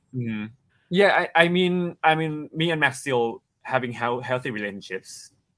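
A man talks with lively intonation. The recording is very clean with a silent background. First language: Thai. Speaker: actor. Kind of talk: interview. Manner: halting, hesitant speech.

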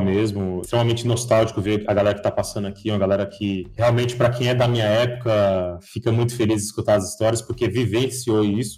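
Speaking at a fairly quick pace, a man with a medium pitch sounds somewhat breathy, his tone dark and mellow and his intonation fairly even. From São Paulo, Brazil (also six years in Bahia). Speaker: security researcher. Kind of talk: casual interview.

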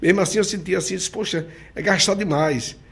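Speaking at a fairly quick pace, a man uses lively intonation and vocal fry. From Sergipe, Brazil (countryside). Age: 60s. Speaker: mayor and businessman. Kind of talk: interview.

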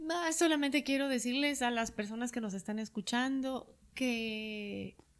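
She speaks at a fairly slow pace, her fairly high voice moving with ordinary pitch variation. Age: 40s. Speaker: psychologist and hypnotherapist. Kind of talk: interview conversation.

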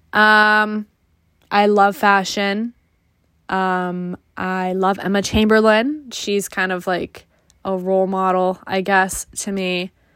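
In an American accent, the speaker talks at a very slow pace with monotone, flat intonation. The recording is very clean, with a silent background. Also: woman, medium pitch for a woman. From Connecticut, New England. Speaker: podcast host, college student. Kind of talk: casual solo monologue.

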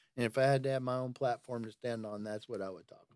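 A man speaks at a medium pitch and a fairly quick pace. His intonation is monotone and flat. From Tennessee, Nashville. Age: 60s. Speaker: photographer. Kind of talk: casual chat.

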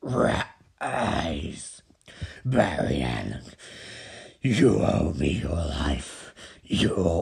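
Using a put-on character voice, a man speaks very slowly in a very deep, low pitch that sounds strained and raspy, with long, frequent pauses. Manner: commanding, menacing.

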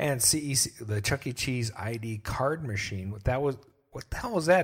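A man talks at a moderate pace with a somewhat breathy voice and very wide swings in pitch. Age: 40s. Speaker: podcast host. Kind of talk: casual chat. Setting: livestream.

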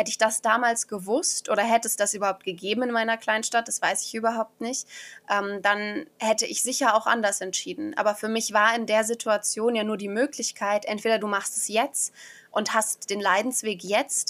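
This is a woman with an ordinary speaking voice and a fairly high pitch. She moves at a moderate pace with fairly even intonation. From Germany, village. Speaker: beauty queen and podcaster. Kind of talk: guided meditation; interview.

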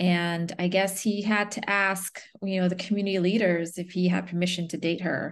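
With hardly any pauses, a woman speaks in a monotone, flat intonation against a quiet background. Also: medium pitch for a woman, moderate pace. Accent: American. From Chicago, US Midwest. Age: 40s. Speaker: librarian and archivist. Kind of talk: casual interview chat.

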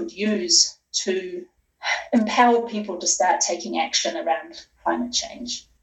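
A woman with a New Zealand accent talks with lively intonation. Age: 40s. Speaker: sustainability consultant. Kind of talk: interview.

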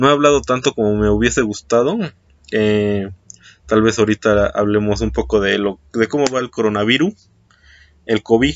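A man with a Mexican accent speaks at a moderate pace and fairly low pitch. His pitch varies in an ordinary way, with long, frequent pauses. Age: 20s. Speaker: podcast host. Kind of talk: casual solo monologue. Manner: hesitant, many fillers.

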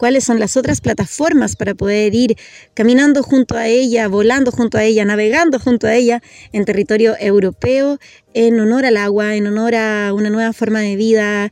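The woman has a plain, everyday voice with a fairly high pitch. She keeps a moderate pace and fairly even intonation. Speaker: radio host. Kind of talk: radio interview. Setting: outdoors. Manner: gentle.

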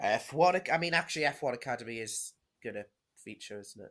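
A man's very fast, animated delivery with vocal fry, in a northern English accent. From northern England. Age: young. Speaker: motorsport podcast co-host. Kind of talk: casual chat.

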